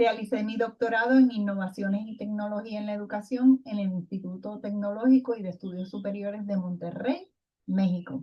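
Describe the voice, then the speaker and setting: A woman's somewhat breathy, dark and mellow voice at medium pitch, with ordinary pitch variation, a fairly quick pace and big swings in loudness. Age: 60s. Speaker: retired education professor. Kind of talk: recorded lecture presentation.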